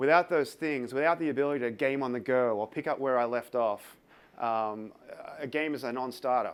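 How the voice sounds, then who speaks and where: An Australian accent marks this man's medium-pitched voice as he talks fairly quickly with fairly even intonation on a very clean recording with a silent background. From Australia, Sydney. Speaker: tech company developer advocate. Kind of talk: conference talk. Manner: hesitant, many fillers.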